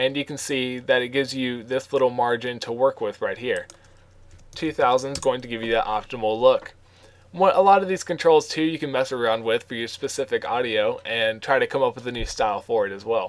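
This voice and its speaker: This man has an ordinary speaking voice, talking at a fairly quick pace with medium pitch and ordinary pitch variation. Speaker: graphic design tutorial creator. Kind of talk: software tutorial. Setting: screen recording at home computer. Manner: casual, many fillers (um, uh).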